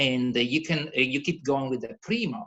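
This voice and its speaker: A man with a Calabrian accent and ordinary pitch variation. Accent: Italian (Calabrian). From Calabria, southern Italy. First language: Italian. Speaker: cooking presenter. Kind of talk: casual talk on a video call. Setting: video call. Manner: animated; halting.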